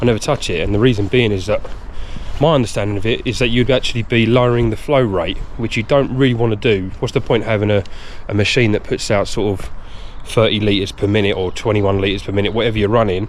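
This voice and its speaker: A man talks at a very fast pace, fairly low in pitch and with fairly even intonation. Noticeable background noise and audible room echo fill the recording. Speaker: pressure washing business owner. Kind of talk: vlog tutorial. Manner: hesitant with fillers.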